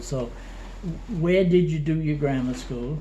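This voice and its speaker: Over audible room echo, a man speaks at a fairly slow pace with fairly even intonation. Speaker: oral history interviewer. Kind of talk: oral history interview. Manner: halting, hesitant.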